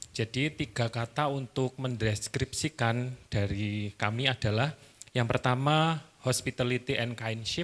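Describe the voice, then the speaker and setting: Recorded dry and close with no echo, a man with an Indonesian accent talks at a moderate pace, his loudness very even and his intonation fairly even. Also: medium pitch for a man. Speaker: hospital staff member. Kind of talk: group discussion.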